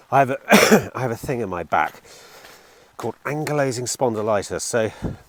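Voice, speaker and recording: A man speaks at a moderate pace and medium pitch with ordinary pitch variation, the sound dry and close with no echo and noticeable background noise behind him. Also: long, frequent pauses. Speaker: car dealer vlogger. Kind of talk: casual vlog.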